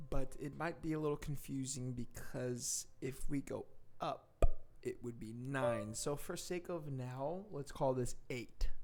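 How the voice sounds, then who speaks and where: This man talks at a fairly slow pace. His pitch is fairly high, with ordinary variation. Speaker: piano teacher. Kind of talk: tutorial. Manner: soft-spoken; playful.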